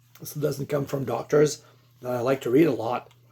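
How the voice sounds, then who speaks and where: This man has a Quebec accent and a fairly high pitch. His dark, mellow tone moves at a moderate pace. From Quebec, Canada. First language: French. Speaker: lay Bible teacher. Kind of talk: religious exposition monologue. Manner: halting, with many fillers and repeats.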